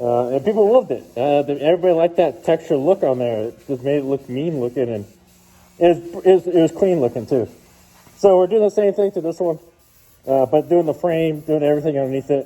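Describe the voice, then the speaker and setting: A man talks at a very fast pace with lively intonation. His voice is fairly high in pitch, with a dark, mellow tone. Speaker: truck vlogger. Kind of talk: casual vlog narration. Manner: halting, many fillers.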